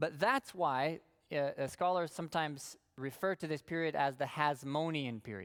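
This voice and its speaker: Speech comes at a moderate speed. The audio is very clean, and the background is silent. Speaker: Bible class teacher. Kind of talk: lecture.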